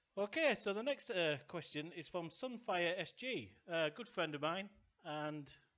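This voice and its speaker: Speaking with a Yorkshire accent, a man has a high pitch and a bright, sharp tone. He goes at a fairly slow pace with lively intonation. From Yorkshire, northern England. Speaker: gaming YouTuber. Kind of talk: casual Q&A while gaming. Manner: halting, many fillers; calm.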